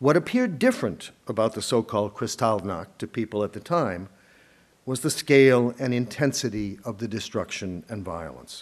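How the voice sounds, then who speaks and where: Speaking in an American accent, this voice moves at a moderate pace. The intonation is lively. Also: man, medium pitch for a man. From US Northeast, Boston area. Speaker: historian, professor. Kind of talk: lecture; Q&A answers. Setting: lecture hall with audience.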